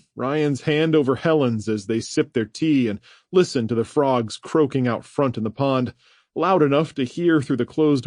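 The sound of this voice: The voice reads in an unforced way, and its pitch varies in an ordinary manner.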